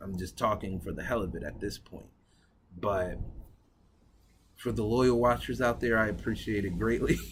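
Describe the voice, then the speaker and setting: A man speaks in a fairly low pitch with lively intonation and vocal fry. His speech has long, frequent pauses. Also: moderate pace. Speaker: cigar review vlogger. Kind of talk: casual vlog talk to camera.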